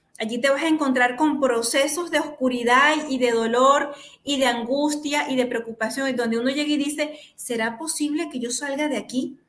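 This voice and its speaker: Speaking at a moderate pace with a Venezuelan accent, a woman with a high-pitched voice shows ordinary pitch variation amid audible room echo. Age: 40s. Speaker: therapist and show host. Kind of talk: talk show interview. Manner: animated.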